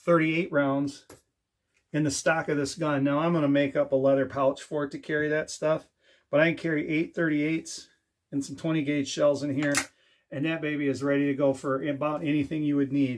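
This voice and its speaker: A man with a Michigan accent speaks at a moderate pace, using a fairly high pitch and a monotone, flat intonation. He takes long, frequent pauses in a very clean recording with a silent background. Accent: US Midwest (Michigan). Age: 50s. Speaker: DIY and firearms YouTuber. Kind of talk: casual show-and-tell video. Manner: conversational with fillers.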